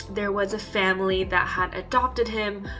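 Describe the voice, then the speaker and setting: Clear music sounds behind a woman as she talks. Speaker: vlogger. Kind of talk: casual vlog chat. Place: home room. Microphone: phone near.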